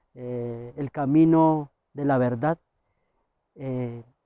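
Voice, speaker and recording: A man with a fairly high pitch and a dark, mellow tone speaks in a monotone, flat manner, the sound dry and close with no echo against a quiet background. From Misak people, Cauca, Colombia. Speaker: farmer and public health worker. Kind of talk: interview answer. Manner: hesitant, many fillers.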